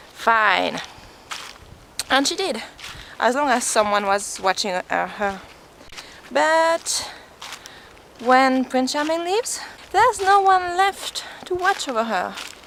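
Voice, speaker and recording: Through noticeable background noise, a woman with a non-native accent speaks at a very slow pace, her high voice swinging very widely in pitch, with long, frequent pauses. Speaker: vlogger. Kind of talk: casual vlog storytelling while walking. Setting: outdoors.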